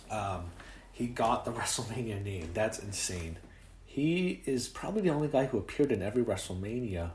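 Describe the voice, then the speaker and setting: At a fairly quick pace, a man talks in a somewhat breathy voice of medium pitch with lively intonation. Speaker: wrestling commentator. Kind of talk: casual talk to camera.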